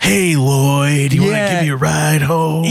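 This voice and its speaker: A man uses a put-on character voice with a fairly high pitch. He talks at a moderate pace. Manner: creepy, acerbic.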